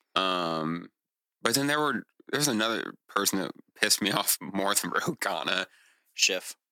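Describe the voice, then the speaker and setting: A man's fairly low, bright, sharp voice with lively intonation, at a moderate pace with long, frequent pauses, dry and close with no echo. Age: 30s. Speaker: podcast co-host and guest. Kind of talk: casual chat.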